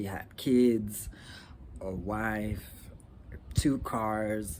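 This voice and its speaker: Audible room echo around a man's fairly low-pitched speech, its pitch variation ordinary. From Rwanda. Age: 30s. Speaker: vlogger, law student. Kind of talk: casual vlog monologue. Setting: outdoors. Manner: halting, many fillers.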